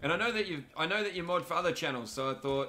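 A man with an Australian accent, fairly high in pitch, talking at a very fast pace over light background noise. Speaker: gaming streamer. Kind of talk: live gameplay commentary. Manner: casual, animated.

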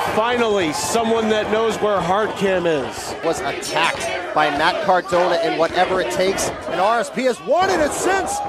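With music playing behind him, a man speaks at a moderate pace in a high pitch, his intonation lively, his loudness very even and his pauses hardly any, all in a dry sound with no echo. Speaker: wrestling commentator. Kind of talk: wrestling commentary. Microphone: headset.

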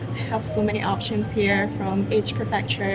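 A woman speaks at a moderate pace over loud background music. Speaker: travel vlogger. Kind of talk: casual vlog chat. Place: shop. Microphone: phone near.

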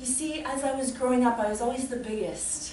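Noticeable background noise sits behind this recording. A woman talks at a high pitch. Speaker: solo storyteller. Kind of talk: comic monologue performance. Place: stage. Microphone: camera far.

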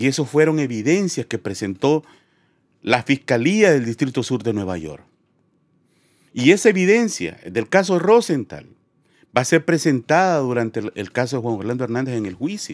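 At a moderate pace, the voice moves through very wide pitch swings with long, frequent pauses over a quiet background. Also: man, dry sound with no echo. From Honduras. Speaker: news show host. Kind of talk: live stream commentary. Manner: animated. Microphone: studio mic.

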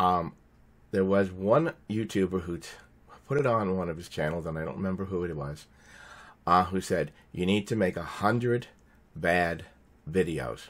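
At a moderate pace, a man talks with a very deep, low pitch and ordinary pitch variation. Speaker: small YouTube channel creator. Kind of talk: casual talk to camera. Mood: grateful, warm. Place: home room. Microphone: webcam.

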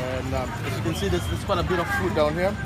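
Crowd noise fills the background as a man speaks. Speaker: food vlogger. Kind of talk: casual vlog chat. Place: market. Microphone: phone near.

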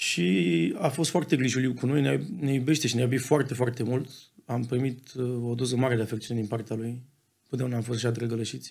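A man speaks fairly quickly, his pitch varying in an ordinary way, with the background quiet. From Romania. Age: 20s. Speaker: football club co-owner; podcast guest. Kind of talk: casual interview. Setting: studio. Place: studio. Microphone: studio mic.

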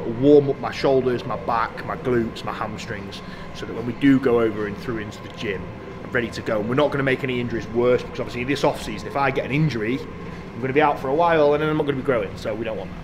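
Over noticeable background noise, a man speaks very fast with ordinary pitch variation. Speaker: fitness vlogger. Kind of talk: casual vlog chat. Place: gym.

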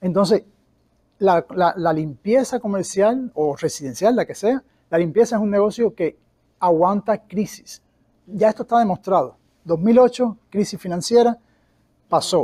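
Fairly slow delivery with long, frequent pauses, a dark, mellow tone and ordinary pitch variation, against a quiet background. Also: man, high pitch for a man. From Cuba. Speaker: cleaning company owner; guest. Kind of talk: interview. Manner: halting, many repetitions. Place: meeting room. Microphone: lapel.

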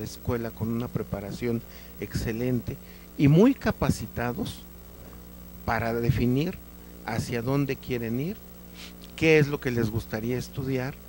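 A man speaks at a fairly slow pace, with long, frequent pauses. The sound is dry with no echo, and there is light background noise. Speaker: invited guest on an educational TV talk show. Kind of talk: interview answer. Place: studio. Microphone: handheld.

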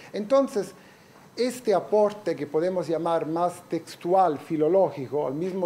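Over light background noise, a man with an Italian accent speaks fairly slowly in a fairly high voice with a dark, mellow tone and ordinary pitch variation. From Italy. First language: Italian (speaking Spanish). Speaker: professor. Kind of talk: lecture. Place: classroom.

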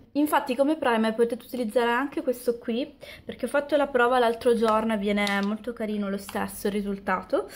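Light background noise accompanies a woman speaking with fairly even intonation. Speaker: beauty vlogger. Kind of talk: tutorial. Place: home room. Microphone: camera far.

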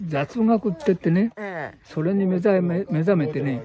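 A man's lively intonation in a dry sound with no echo, over noticeable background noise. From Japan. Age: 80s+. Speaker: elderly ground golf player interviewed. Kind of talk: interview answer; casual talk. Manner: energetic. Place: open country. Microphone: phone near.

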